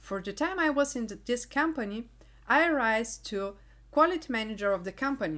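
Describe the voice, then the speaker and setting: A woman with a Bulgarian accent speaks at a moderate pace and fairly high pitch, her voice making very wide pitch swings. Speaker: engineering YouTuber, quality manager. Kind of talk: vlog monologue.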